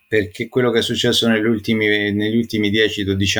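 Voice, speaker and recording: A man's voice with a fairly low pitch. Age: 40s. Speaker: metal music journalist. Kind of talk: casual interview. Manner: halting, repeats words.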